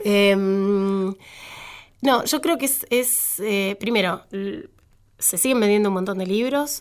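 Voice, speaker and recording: A woman's medium-pitched voice at a very slow pace, with ordinary pitch variation, in a very clean recording over a silent background. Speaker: sociologist. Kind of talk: casual chat.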